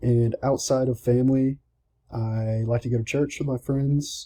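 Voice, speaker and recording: With a Southern US accent, a man speaks at a medium pitch in a dark, mellow tone that is somewhat breathy. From US South, Georgia. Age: 20s. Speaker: college student. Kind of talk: self-introduction speech. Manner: casual, slightly halting.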